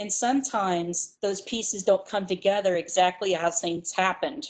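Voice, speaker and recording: A woman's normal speaking voice at a medium pitch, moderate pace and fairly even intonation, over a quiet background. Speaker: psychology instructor. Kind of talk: lecture.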